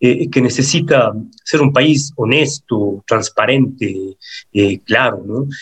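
A man speaks at a very slow pace, somewhat breathy. The sound is dry and close with no echo. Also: medium pitch for a man, ordinary pitch variation. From Ecuador. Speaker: singer and psychologist. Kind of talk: interview.

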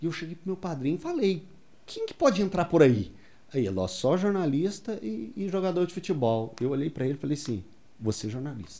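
The voice has a dark, mellow tone and very wide pitch swings, moving at a fairly quick pace. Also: man, fairly high pitch for a man, big swings in loudness. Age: 40s. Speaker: sports reporter. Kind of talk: casual chat.

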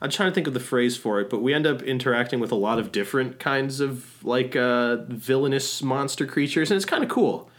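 The speaker moves at a fairly quick pace. It is an unremarkable speaking voice. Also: man. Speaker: podcast co-host. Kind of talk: casual chat. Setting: at home, remote recording.

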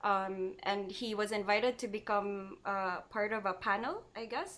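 A woman has an ordinary speaking voice at a medium pitch. She talks at a fairly slow pace with fairly even intonation. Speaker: art teacher. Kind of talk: casual chat.

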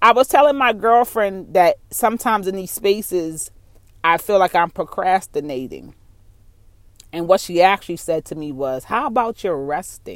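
With lively intonation and big swings in loudness, a woman talks at a medium pitch and a moderate pace. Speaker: podcaster. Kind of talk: unscripted solo rant. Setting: in a car. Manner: casual, rambling, unfiltered.

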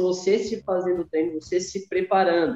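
A man's high pitch carries a dark, mellow tone in a dry, close sound with no echo. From Santa Catarina, southern Brazil (Criciúma). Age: 20s. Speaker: running coach and former athlete. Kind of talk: podcast interview.

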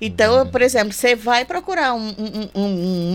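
A woman with an unremarkable speaking voice, fairly high pitch, lively intonation and a fairly quick pace. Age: 50s. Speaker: psychologist. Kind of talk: radio interview.

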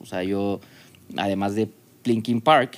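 A man with a normal speaking voice talks at a fairly low pitch, keeping his intonation fairly even. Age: 40s. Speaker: business owner. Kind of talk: casual chat.

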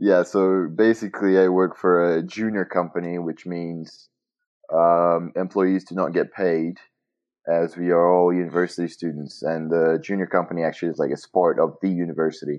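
A man's very deep, low voice in a monotone, flat intonation at a moderate pace. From Brazil. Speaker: university student. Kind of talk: casual chat. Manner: halting.

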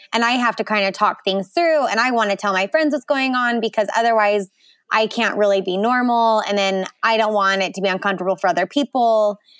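A woman with an American accent speaks in a plain, everyday voice, fairly high in pitch with ordinary pitch variation. The recording is very clean with a silent background and a dry, close sound with no echo. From Utah, Salt Lake City. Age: 20s. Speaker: photographer and new mother. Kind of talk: personal birth story interview.

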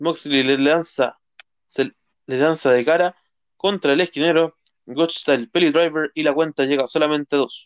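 At a fairly slow pace, a man with an unremarkable speaking voice talks in a fairly high pitch with fairly even intonation and very even loudness, in a dry, close sound with no echo. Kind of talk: wrestling results recap read aloud, blow-by-blow match summary. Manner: brisk, even, rattling off moves and match outcomes, some stumbles and repeats.

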